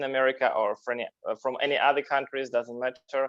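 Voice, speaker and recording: With a non-native accent, a man talks at a fairly high pitch and fairly even intonation. The background is quiet, and the sound is dry and close with no echo. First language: Russian. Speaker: interview show host. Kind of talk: interview. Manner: halting.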